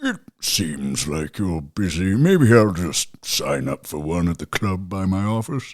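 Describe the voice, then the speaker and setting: A man uses a put-on character voice with a very deep, low pitch and lively intonation. He goes at a fairly slow pace with hardly any pauses. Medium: audio drama. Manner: polite, mild.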